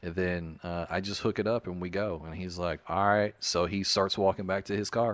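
A man with an American accent speaks at a moderate pace in a very deep, low, flat monotone, barely pausing. The recording is very clean, with a silent background. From US South. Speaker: podcast co-host. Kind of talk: casual chat.

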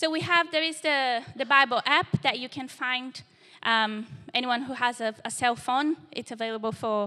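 A woman with a Portuguese accent, high-pitched and bright, sharp in tone, with lively intonation at a moderate pace. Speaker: church young adults leader preaching. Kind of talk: sermon. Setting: church service with live congregation.

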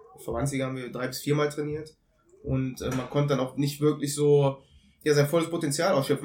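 The speaker is a man with a fairly high-pitched voice. His delivery is somewhat breathy. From Germany, Cologne. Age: 30s. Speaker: former footballer and football consultant. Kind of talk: podcast interview. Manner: halting, many fillers.

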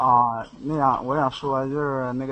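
A man speaks at medium pitch. Noticeable background noise is heard. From Shandong, China. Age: young. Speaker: caller. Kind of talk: casual chat. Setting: voice chat from an internet cafe. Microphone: too quiet.

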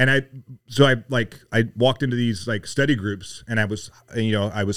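An unremarkable speaking voice, a man with an American accent talks at a medium pitch with ordinary pitch variation on a very clean recording with a silent background. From US South, Mississippi. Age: 50s. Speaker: retired Navy SEAL, leadership coach. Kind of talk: casual chat.

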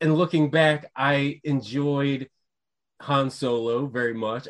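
In a normal speaking voice, the speaker keeps a fairly even intonation against a quiet background. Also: man. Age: 40s. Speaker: podcast co-host. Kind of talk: casual chat.

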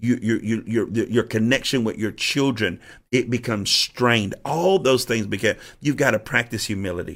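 The very clean recording has a silent background, and a man talks at a moderate pace in a plain, everyday voice. His pitch is medium for a man, with ordinary variation. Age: 50s. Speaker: bishop and podcast host on church leadership. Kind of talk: teaching monologue on leadership. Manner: repetitive, with frequent restarts.

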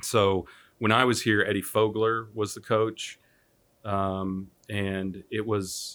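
In an American accent, a man speaks at a very slow pace, fairly low in pitch and monotone, flat in intonation, on a very clean recording with a silent background. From Kansas, Wichita. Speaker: venture capitalist. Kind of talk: casual interview.

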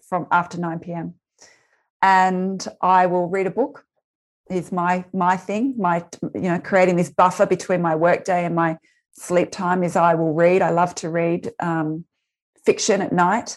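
A woman with an Australian accent speaks at a fairly slow pace, her pitch fairly low and her intonation fairly even. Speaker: resilience speaker and former teacher. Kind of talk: interview. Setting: video call.

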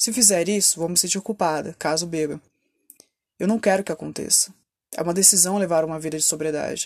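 On a very clean recording with a silent background, a woman with a fairly low pitch speaks at a fairly quick pace, leaving long, frequent pauses. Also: fairly even intonation. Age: 30s. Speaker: podcaster in addiction recovery. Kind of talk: personal testimony monologue.

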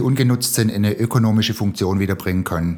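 This man has a normal speaking voice, a medium pitch and ordinary pitch variation. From Swabia, Remstal (Baden-Württemberg, Germany). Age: 50s. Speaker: social entrepreneur. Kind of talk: interview.

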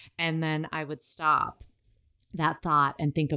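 A woman speaks with an American accent at a fairly slow pace. The recording is very clean, with a silent background. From US. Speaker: sex coach and astrologer. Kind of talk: casual interview chat.

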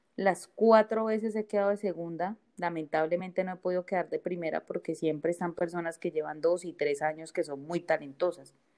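A woman's fairly low, dark and mellow voice at a fairly quick pace, with hardly any pauses. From Bogotá, Colombia. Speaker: stand-up comedian and plus-size model. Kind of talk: casual chat. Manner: animated.

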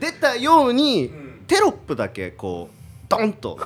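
A man speaking at a fairly slow pace. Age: 30s. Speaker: YouTube commentator, air-conditioner salesman. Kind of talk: casual chat.

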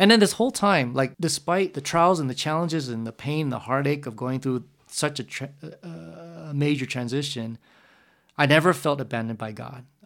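A man with an American accent speaks at a fairly quick pace in a normal speaking voice. The recording is very clean with a silent background. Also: fairly high pitch for a man, ordinary pitch variation. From San Jose, California. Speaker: youth ministry coordinator. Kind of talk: casual chat. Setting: conference center at night.

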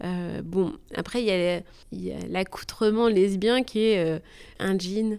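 A woman's very slow speech, broken by long, frequent pauses. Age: 30s. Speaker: teacher interviewee. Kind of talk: interview. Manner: hesitant.

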